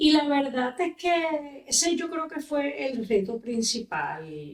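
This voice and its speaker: A woman speaks at a very slow pace. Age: 60s. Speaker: politician and lawyer. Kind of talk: podcast interview.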